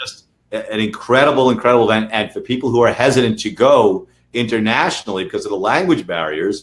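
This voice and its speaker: A man talks at a very fast pace. He speaks with a New York accent. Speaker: lawyer for online sellers. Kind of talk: webinar interview.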